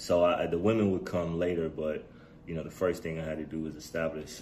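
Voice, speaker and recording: A man's very deep, low pitch and dark, mellow tone, with monotone, flat intonation at a fairly quick pace and audible room echo. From Chicago South Side, US. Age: 40s. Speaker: podcast host. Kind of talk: personal storytelling monologue. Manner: casual with many fillers.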